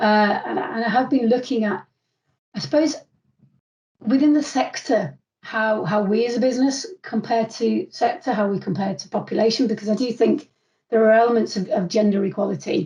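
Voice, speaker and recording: A somewhat breathy voice in a northern English accent, dark and mellow in tone, with lively intonation at a moderate pace. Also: woman, fairly high pitch for a woman. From northern England. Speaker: construction commercial manager. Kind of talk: interview. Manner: halting.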